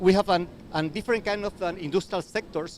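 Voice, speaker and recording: A man talks at a very fast pace in a Spanish accent. Noticeable background noise runs behind him. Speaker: university researcher. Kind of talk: panel presentation. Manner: halting, many repeated words.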